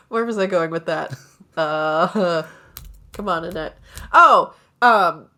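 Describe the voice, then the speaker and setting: Speaking at a very slow pace with long, frequent pauses, a woman uses a fairly low, bright, sharp tone with ordinary pitch variation and big swings in loudness, on a very clean recording with a silent background. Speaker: comedian and musician. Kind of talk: casual chat. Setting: podcast recording.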